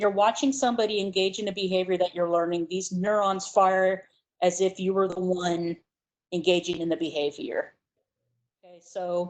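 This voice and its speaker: Fairly even intonation and a moderate pace come through in an unremarkable speaking voice. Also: woman. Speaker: psychology instructor. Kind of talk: lecture.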